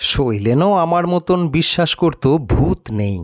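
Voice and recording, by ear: A slow-paced man with a fairly high pitch and lively intonation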